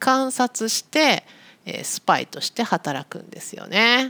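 Dry, close sound with no echo, carrying a woman's voice. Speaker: Japanese language teacher podcaster. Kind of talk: casual educational monologue for learners. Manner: slow, clear with simple explanations.

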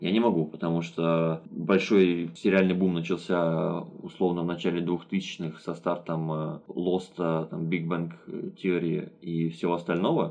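At a fairly slow pace, a man with a very deep, low pitch speaks in monotone, flat intonation. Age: 20s. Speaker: podcast co-host. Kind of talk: casual chat. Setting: remote call.

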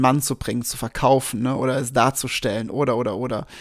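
An animated tone comes through at a fairly quick pace with ordinary pitch variation. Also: man. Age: 30s. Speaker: podcast host, business coach. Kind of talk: casual monologue, storytelling.

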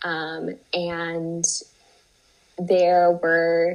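A woman speaks with a fairly low pitch. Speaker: IBD patient, biotech investor relations. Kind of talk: interview. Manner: halting, many fillers and repetitions.

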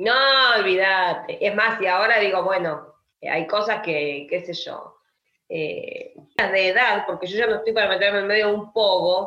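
A woman at medium pitch, fairly slow pace and fairly even intonation, with audible room echo. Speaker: writer and teacher. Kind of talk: interview conversation.

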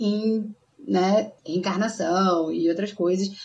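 This is a woman speaking. Her pace is very slow. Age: 20s. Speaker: podcast co-host. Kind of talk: casual chat.

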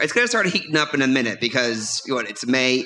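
Noticeable background noise runs beneath a speaker with an American accent. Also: man. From US South (New Orleans area). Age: 40s. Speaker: stand-up comedian and comedy club runner. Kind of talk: casual chat. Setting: stage with audience. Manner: animated.

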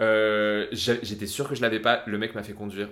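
Animated in tone, a man speaks at a medium pitch. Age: 30s. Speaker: podcast co-host. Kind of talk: casual chat.

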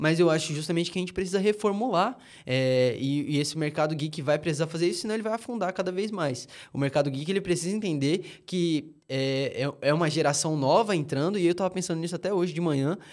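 A high-pitched man at a very fast pace, with ordinary pitch variation. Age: 20s. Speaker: podcast co-host. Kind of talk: casual chat.

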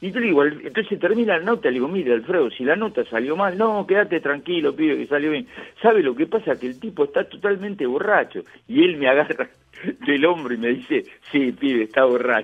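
Talking at a fairly quick pace in a Rioplatense accent, a man uses a fairly high pitch with very wide pitch swings. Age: 70s. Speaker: retired radio host. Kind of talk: interview.

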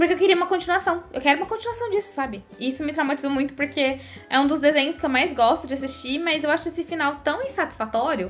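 Over music in the background, a woman with a high voice talks at a very fast pace with lively intonation and hardly any pauses. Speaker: podcast host and news site writer. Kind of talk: casual chat.

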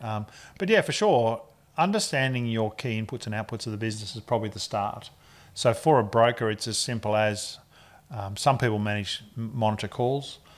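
Recorded very cleanly over a silent background, a man talks with an Australian accent. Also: medium pitch for a man, fairly even intonation, fairly quick pace. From Australia (Ballarat, Victoria). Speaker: mortgage broker. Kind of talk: interview.

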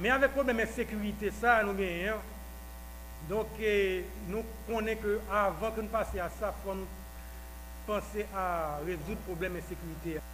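A man talks against noticeable background noise. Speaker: political party official. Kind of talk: speech. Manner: halting.

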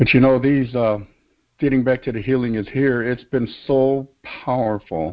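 At a moderate pace, a man with a medium pitch talks with fairly even intonation. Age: 60s. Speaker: minister joining a worship show. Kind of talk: prayer; casual chat. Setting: online call. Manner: halting.

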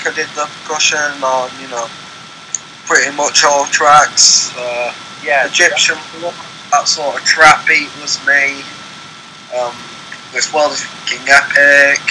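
Noticeable background noise sits under a man speaking. He moves at a fairly slow pace with long, frequent pauses. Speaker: music producer. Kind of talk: casual chat.

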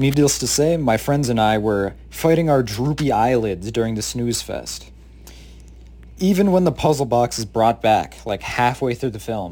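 Talking at a moderate pace, a man has a medium pitch, a dark, mellow tone and ordinary pitch variation. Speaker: student movie reviewer. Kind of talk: casual review. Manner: casual, filler-heavy.

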